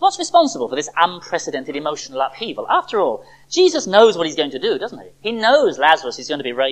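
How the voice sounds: Here a natural reading voice is heard.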